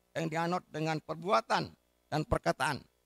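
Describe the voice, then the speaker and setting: A man speaks at a fairly slow pace in a bright, sharp tone. The sound is dry with no echo, over a quiet background. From Indonesia. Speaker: regional government official. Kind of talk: formal speech reading. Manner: formal. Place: hall. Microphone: podium.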